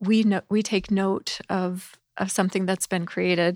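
A woman speaks with an American accent. The recording is very clean and dry, with a close sound, no echo and a silent background. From US South. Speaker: ministry staff member. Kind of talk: casual chat. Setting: studio.

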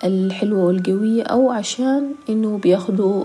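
A fairly slow, medium-pitched female voice against clearly audible background noise. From South Sudan, raised in Khartoum, Sudan. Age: 20s. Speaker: fashion model and social media creator. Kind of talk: personal testimony interview.

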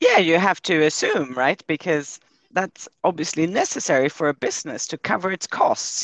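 A man's high-pitched voice at a moderate pace with ordinary pitch variation, in a dry, close sound with no echo. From Sweden. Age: 60s. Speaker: economist. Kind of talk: interview. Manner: hesitant with many fillers.

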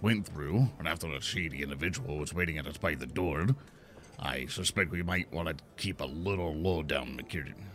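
Through clear background noise, a man uses a put-on character voice, very deep and low in pitch, with a stern tone and a moderate pace. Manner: gruff, stern.

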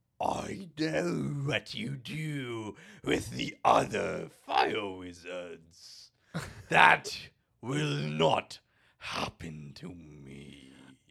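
A put-on character voice from a man, raspy and fairly low-pitched, at a very slow pace. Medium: actual play. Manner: menacing, gleeful.

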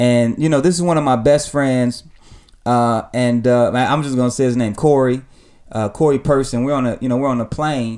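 With fairly even intonation and a medium pitch, a man talks at a moderate pace in a normal speaking voice. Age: 30s. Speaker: pastor and podcast host. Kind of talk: casual chat; sermon.

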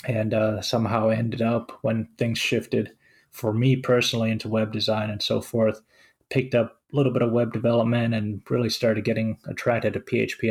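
A man's somewhat breathy, monotone, flat voice at medium pitch and a fairly quick pace. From Finland. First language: Finnish. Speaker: web developer and podcast host. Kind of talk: casual chat.

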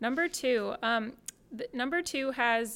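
A woman speaks in a West Coast accent. Her pace is moderate and her pitch fairly high. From Portland, Oregon. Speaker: church member and guest. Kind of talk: casual chat.

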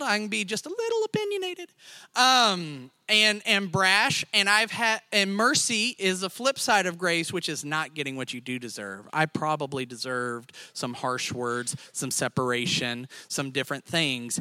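A raised, projected voice with a bright, sharp tone moves at a moderate pace with hardly any pauses. Its pitch swings very widely, on a very clean recording with a silent background. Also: man. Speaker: lay church speaker. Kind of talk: sermon. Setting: church stage with audience. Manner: animated.

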